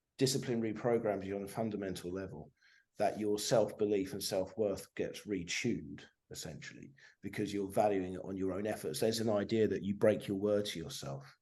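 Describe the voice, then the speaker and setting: A man's fairly low, dark, mellow voice at a fairly quick pace, with ordinary pitch variation and audible room echo. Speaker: guest recounting addiction recovery. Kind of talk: casual chat. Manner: fast, repetitive with restarts.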